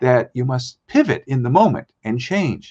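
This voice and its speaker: This is a normal speaking voice with lively intonation. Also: man. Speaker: spoken word strategist, guest on a business show. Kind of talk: live business show presentation.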